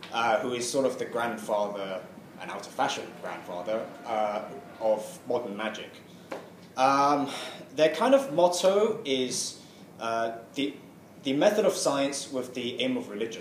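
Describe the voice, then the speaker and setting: A man of medium pitch talks at a fairly slow pace with lively intonation and long, frequent pauses. Audible room echo and noticeable background noise fill the recording. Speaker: tarot reader. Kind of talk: lecture. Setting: talk to a study group. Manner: mumbling; halting.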